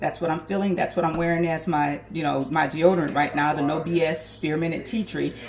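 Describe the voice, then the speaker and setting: A woman with a very deep, low pitch talks at a fairly quick pace with hardly any pauses and fairly even intonation over noticeable background noise. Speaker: small business owner making hair and skin products. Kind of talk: casual kitchen tutorial vlog. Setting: home kitchen.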